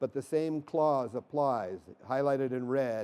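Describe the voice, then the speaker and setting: Here a man speaks with a dark, mellow tone. His pitch varies in an ordinary way. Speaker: product presenter at trade show. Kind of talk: technical presentation. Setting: demo stage at trade show. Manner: fast.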